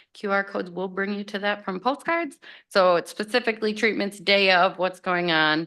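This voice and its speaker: Her tone is bright and sharp. A woman speaks against a quiet background. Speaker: state agriculture department presenter. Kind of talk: presentation at public board meeting. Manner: fast.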